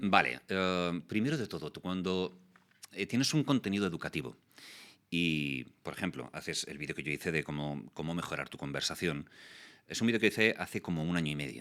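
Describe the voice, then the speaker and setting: A man's very deep, low voice with vocal fry, lively intonation and a fairly quick pace. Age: 40s. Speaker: voice actor and communication youtuber. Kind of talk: interview.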